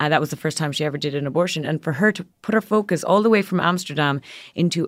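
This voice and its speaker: With an Irish accent, a woman speaks in a very deep, low voice with ordinary pitch variation, recorded very cleanly against a silent background. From Ireland. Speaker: magazine editor. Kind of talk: casual interview.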